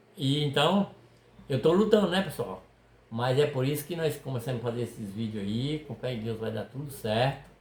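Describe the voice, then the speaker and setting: Medium-pitched male speech at a moderate pace, with lively intonation over noticeable background noise. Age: 60s. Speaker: fishing video creator, retired worker. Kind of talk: casual chat. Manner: halting.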